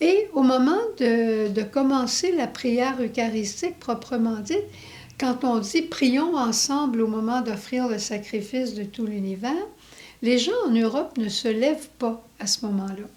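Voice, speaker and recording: A woman's high voice in an English accent, very slow and lively in intonation. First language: English (speaking French). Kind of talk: religious testimony.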